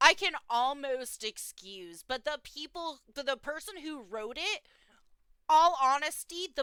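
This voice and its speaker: Raised and projected, a woman's high voice comes across animated, with a bright, sharp tone. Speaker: reaction commentator. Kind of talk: reaction commentary.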